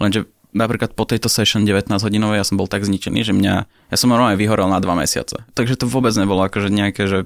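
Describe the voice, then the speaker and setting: Very fast delivery at a very even loudness, with fairly even intonation. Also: man. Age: 20s. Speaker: professional poker player. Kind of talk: interview.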